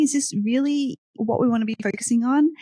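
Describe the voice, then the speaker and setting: A woman speaks at a fairly high pitch with an Australian accent. The sound is dry and close, with no echo. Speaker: tech startup founder. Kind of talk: podcast interview. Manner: casual, with frequent fillers.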